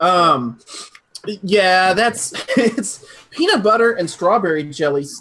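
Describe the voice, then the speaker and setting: Swinging very widely in pitch, a man talks with an American accent. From northern US. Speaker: e-liquid recipe maker. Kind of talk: casual chat.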